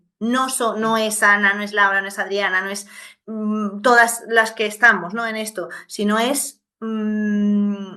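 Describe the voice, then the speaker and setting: A woman speaks very slowly in a fairly high, bright and sharp voice, with monotone, flat intonation, big swings in loudness and audible room echo. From Venezuela. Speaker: podcast host, interviewer. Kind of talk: casual interview conversation. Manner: halting, many false starts and fillers.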